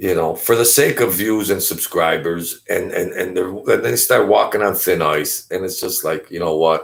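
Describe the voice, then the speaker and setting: A New York accent at a moderate pace in a very clean recording with a silent background. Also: man. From Brooklyn, New York. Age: 50s. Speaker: YouTube commentator. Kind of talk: casual live-stream monologue. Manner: animated, repetitive stammering.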